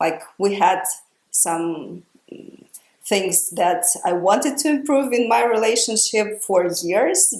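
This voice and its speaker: Audible room echo surrounds the voice. A woman talks at a very slow pace. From Ukraine. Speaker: podcast host. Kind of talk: casual podcast conversation. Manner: hesitant, many fillers.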